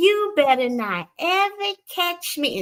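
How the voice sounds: Putting on a squeaky character voice in a Southern accent, a female-sounding speaker goes extremely high in pitch at a fairly slow pace.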